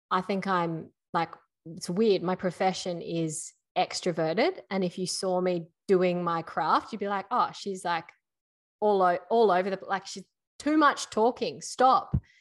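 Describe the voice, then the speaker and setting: A woman with an Australian accent, medium pitch, ordinary pitch variation and a fairly slow pace, over a quiet background. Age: 30s. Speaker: podcast co-host. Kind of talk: casual chat.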